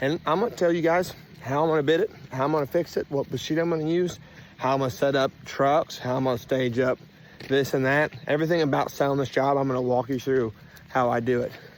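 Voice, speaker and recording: A man with a Southern US accent talks at a very fast pace, his pitch fairly high. His pitch variation is ordinary and his loudness very even. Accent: Southern US rural. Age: 30s. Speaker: dirt contractor. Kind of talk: on-site tutorial. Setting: outdoors on a job site. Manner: casual, animated.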